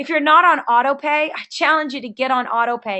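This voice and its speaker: Speaking at a high pitch, a woman sounds animated, with ordinary pitch variation. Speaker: network marketing team leader. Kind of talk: sales training webinar. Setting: webinar. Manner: fast.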